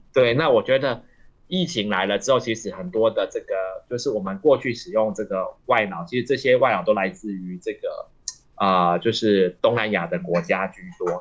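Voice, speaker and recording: His voice sits at a medium pitch, with a moderate pace. The man's intonation is lively. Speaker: associate professor of elderly long-term care. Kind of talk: radio interview. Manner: halting, many fillers.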